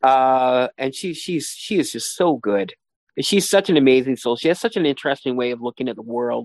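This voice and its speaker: Medium-pitched male voice with a Canadian accent, lively intonation and a fairly quick pace over a quiet background. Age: 40s. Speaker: arts journalist. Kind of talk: interview. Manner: halting.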